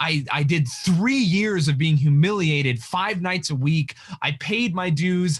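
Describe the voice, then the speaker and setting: A man with an American accent speaks in a plain, everyday voice at a fairly slow pace, fairly high in pitch and with lively intonation. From Utah. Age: 30s. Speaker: comedian. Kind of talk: casual chat.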